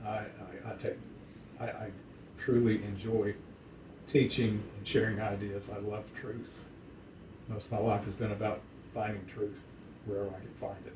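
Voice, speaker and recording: A man speaks at a fairly low pitch and moderate pace, with monotone, flat intonation and long, frequent pauses. His loudness swings widely, and room echo is audible. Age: 70s. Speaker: dog breeder. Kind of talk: casual chat.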